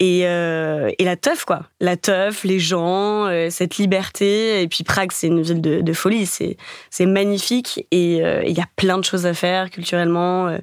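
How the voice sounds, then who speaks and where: A woman talks at a very slow pace, her loudness very even throughout. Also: medium pitch for a woman, fairly even intonation. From Paris. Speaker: dating podcast guest. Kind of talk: casual interview.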